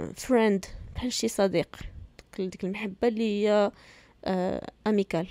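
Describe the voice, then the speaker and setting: A woman speaks at a medium pitch with a dark, mellow tone. Her pace is fairly slow, her intonation fairly even, with long, frequent pauses. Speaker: podcast host. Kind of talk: casual commentary.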